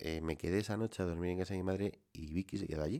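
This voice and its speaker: On a very clean recording with a silent background, a man speaks in a very deep, low pitch with a dark, mellow tone and ordinary pitch variation. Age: middle-aged. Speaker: solo whisky podcaster. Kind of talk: relaxed solo monologue. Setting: home wine cellar.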